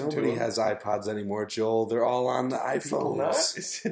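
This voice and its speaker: A man's voice at a medium pitch, with ordinary pitch variation, a moderate pace, very even loudness and noticeable background noise. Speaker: podcast co-host. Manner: joking, banters with co-hosts.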